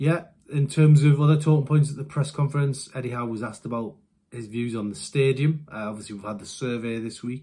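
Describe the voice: A man talks at a moderate pace, his tone dark and mellow and his intonation fairly even.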